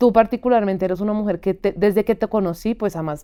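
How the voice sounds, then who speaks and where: A woman's dark, mellow voice with fairly even intonation at a fairly quick pace, on a very clean recording with a silent background. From Colombia. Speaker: podcast host. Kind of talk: interview conversation.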